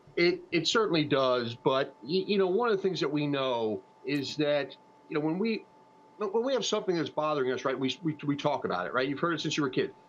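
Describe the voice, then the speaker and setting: A man with a fairly high pitch and lively intonation at a fairly quick pace, over noticeable background noise. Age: 60s. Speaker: funeral planning platform founder. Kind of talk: TV interview. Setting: TV news streaming broadcast. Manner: halting, many fillers and repeats.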